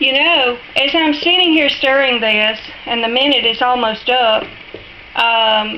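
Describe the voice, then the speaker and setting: A woman with an American accent speaks very slowly at a high pitch, her loudness very even and her pitch variation ordinary. Noticeable background noise is present. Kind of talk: casual cooking tutorial talk to camera. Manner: friendly, chatty.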